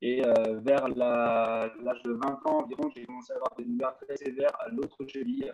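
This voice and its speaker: Talking at a moderate pace with hardly any pauses, a man shows big swings in loudness. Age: 20s. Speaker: patient giving testimony. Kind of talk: testimony.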